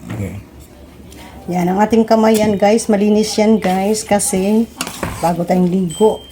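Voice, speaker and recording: A woman speaks at a fairly slow pace, with long, frequent pauses. Noticeable background noise can be heard. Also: medium pitch for a woman. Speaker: home cook. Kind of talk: cooking tutorial. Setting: home kitchen. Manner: animated, friendly.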